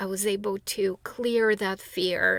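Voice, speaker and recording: Speaking at a fairly slow pace with a non-native accent, a woman is heard in a dry, close sound with no echo. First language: not English. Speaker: spiritual teacher and author. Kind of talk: monologue answering a viewer question. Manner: halting, many fillers and restarts.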